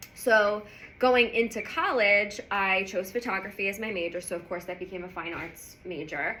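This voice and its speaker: The voice has an animated tone. Audible room echo and noticeable background noise surround it. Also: woman. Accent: New York. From New York. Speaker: business founder and guest lecturer. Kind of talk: lecture. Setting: university lecture hall with audience.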